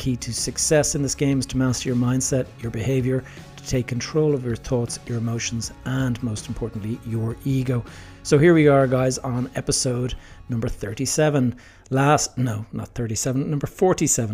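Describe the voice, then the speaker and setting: A man with an Irish accent, medium pitch and an upbeat tone, talking at a moderate pace over music in the background. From Ireland. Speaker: podcast host. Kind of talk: podcast intro.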